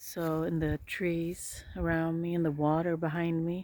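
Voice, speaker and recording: This woman's voice has a dark, mellow tone and fairly low pitch. Her intonation is flat and monotone. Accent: Swedish. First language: Swedish. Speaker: healer. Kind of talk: casual vlog narration while walking. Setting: outdoors.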